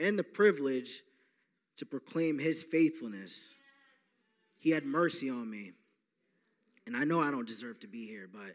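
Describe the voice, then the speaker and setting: At a moderate pace, a man speaks with lively intonation, big swings in loudness and long, frequent pauses. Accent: American. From New York. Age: 20s. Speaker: recovery program staff member. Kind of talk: testimony. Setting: church.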